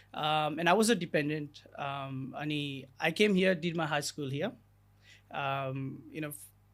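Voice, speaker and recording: In a Nepali accent, a man speaks at a fairly slow pace with a fairly high pitch. The recording is very clean, with a silent background. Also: ordinary pitch variation. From Nepal, Gulmi district. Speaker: immigration lawyer. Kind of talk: podcast interview. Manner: code-switching Nepali and English, frequent fillers.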